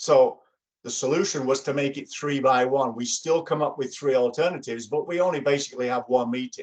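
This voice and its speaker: A man with an English accent at fairly high pitch, talking at a fairly quick pace with fairly even intonation. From England. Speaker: workshop facilitator. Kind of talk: workshop presentation. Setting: video call.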